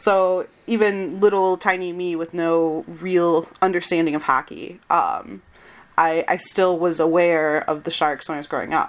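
The speaker has a Michigan accent and fairly even intonation. The pace is fairly slow. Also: woman, fairly low pitch for a woman. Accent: general American, Michigan. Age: 20s. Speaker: podcast host and site editor. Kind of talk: casual chat.

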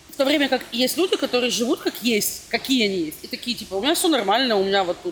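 Amid noticeable background noise, a woman talks at a very fast pace with hardly any pauses, her high voice making very wide pitch swings. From Russia. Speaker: blogger and student. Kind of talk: casual interview chat.

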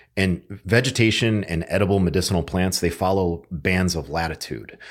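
Someone with an American accent speaks at a moderate pace with ordinary pitch variation in a very clean recording against a silent background. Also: man. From Connecticut, US. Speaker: survival instructor and podcaster. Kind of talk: casual chat.

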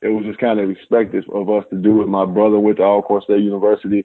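This is a man speaking. He has an American accent. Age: 30s. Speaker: former football player. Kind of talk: casual interview.

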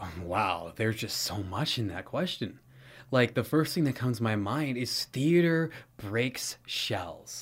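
A somewhat breathy man speaks at a fairly slow pace with lively intonation. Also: very clean recording, silent background. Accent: American. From California. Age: 20s. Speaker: theater instructor. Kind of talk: interview.

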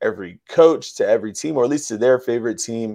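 A man with an American accent talks at a fairly quick pace in a medium pitch, his tone dark and mellow and his intonation lively, against a quiet background. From Bronx, New York. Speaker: financial educator and DJ. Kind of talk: interview with sales pitch. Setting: remote video call from Las Vegas.

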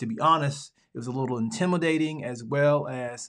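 A man with a Southern US accent, medium pitch, ordinary pitch variation and a moderate pace against a quiet background. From Alabama, US Deep South. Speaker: podcast host and pastor. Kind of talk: casual monologue; reading aloud.

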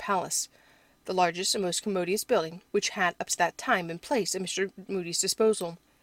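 A woman with a medium-pitched voice speaks very fast in a dry, close recording with no echo. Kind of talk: audiobook reading. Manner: measured, formal, steady narration.

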